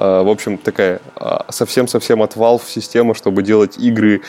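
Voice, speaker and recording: Noticeable background noise sits behind a man whose fairly low pitch moves with fairly even intonation. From Udmurtia, Russia (Glazov). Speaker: senior game programmer. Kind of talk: podcast interview. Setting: remote call.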